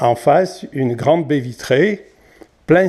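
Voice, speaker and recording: A man's fairly high voice with a dark, mellow tone and ordinary pitch variation. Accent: southern French. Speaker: chalet owner. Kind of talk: property video tour.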